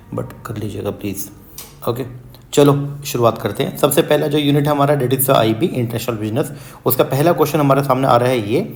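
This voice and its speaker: At a moderate pace, a man speaks with a medium pitch and ordinary pitch variation. There is audible room echo. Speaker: UGC NET commerce teacher. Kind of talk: exam revision lecture; casual video intro. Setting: hospital room.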